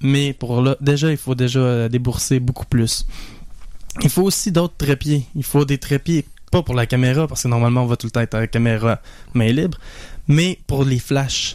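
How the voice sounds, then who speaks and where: A man speaks at medium pitch and a moderate pace with ordinary pitch variation, in a normal speaking voice. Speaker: photographer. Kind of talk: casual chat.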